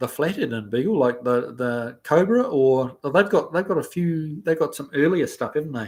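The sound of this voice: This man's intonation is lively. His pace is moderate. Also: slightly mellow tone.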